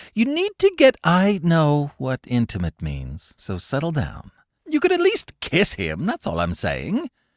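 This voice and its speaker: The recording is dry and close, without echo. A man talks fairly slowly. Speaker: audiobook narrator. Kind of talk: audiobook read, romantic comedy.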